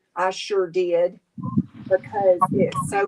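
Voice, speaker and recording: A woman's medium-pitched voice in a Southern US accent, very slow in pace, with ordinary pitch variation and a dry, close sound with no echo. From Tennessee. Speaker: crafter and live streamer. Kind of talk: casual chat. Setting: live stream. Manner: animated.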